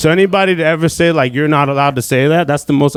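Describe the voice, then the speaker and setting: Talking at a very fast pace in an animated tone, a man is heard over noticeable background noise. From Southern California (born in Iran, moved at age five). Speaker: stand-up comedian. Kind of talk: stand-up. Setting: comedy club stage with audience.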